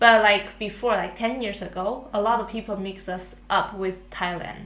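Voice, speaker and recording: A woman with a Chinese accent speaks at a moderate pace and medium pitch in a monotone, flat intonation. Audible room echo and noticeable background noise fill the recording. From Taiwan. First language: Mandarin Chinese. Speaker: international student podcast co-host. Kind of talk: casual chat. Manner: halting.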